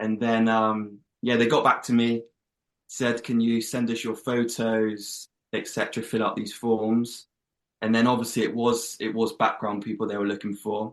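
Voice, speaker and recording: A man with an English accent speaks at a moderate pace in a medium pitch, his intonation flat and monotone. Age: 20s. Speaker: actor. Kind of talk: interview.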